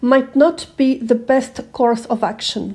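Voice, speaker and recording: Speaking at a fairly slow pace, a woman with a non-native accent has a high pitch and a dark, mellow tone. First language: not English. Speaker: manifesting coach. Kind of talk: self-help talk to camera.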